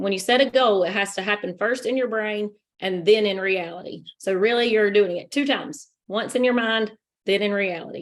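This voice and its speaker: The woman has an ordinary speaking voice at a medium pitch, moving at a moderate pace with ordinary pitch variation. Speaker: network marketing team leader. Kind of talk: training presentation.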